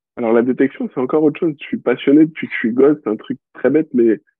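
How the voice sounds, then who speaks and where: A man is speaking. His pace is very fast. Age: 20s. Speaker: dog trainer. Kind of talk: casual interview. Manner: hesitant, many fillers.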